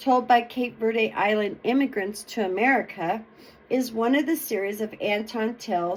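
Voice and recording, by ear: Pitch variation stays ordinary. The clip is reading aloud in a natural voice.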